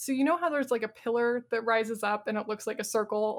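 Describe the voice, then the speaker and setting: Very fast, a woman speaks at a fairly high pitch with ordinary pitch variation. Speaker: podcast co-host discussing video games. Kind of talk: casual panel discussion. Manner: animated.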